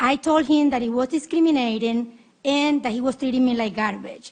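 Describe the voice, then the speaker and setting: With a Spanish accent, a woman speaks at a high pitch and a moderate pace, using ordinary pitch variation. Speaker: public hearing witness, poll challenger. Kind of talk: testimony. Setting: senate committee hearing. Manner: impassioned.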